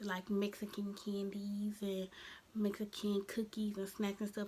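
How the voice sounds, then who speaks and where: Noticeable background noise sits behind the voice. A woman speaks at a medium pitch. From Birmingham. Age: 20s. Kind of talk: casual talk to camera. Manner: upbeat.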